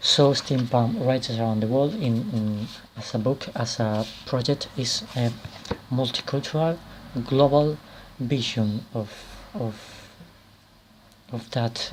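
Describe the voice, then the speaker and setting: A man of medium pitch talks at a fairly slow pace with fairly even intonation amid noticeable background noise. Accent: Spanish. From Spain. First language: Spanish. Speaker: author and anthology editor. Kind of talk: video presentation. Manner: halting, many repetitions and fillers.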